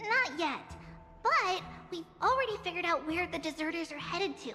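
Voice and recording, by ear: A put-on character voice, bright and sharp in tone, with lively intonation, a moderate pace and faint music in the background. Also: woman, extremely high pitch for a woman.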